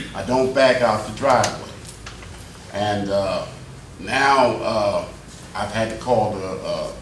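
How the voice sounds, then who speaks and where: Speaking at a fairly slow pace with an American accent, a man is heard in a room with audible echo and noticeable background noise. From Plainfield, New Jersey. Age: 70s. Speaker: resident speaking at public comment. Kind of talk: public comment at council meeting. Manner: hesitant, many fillers.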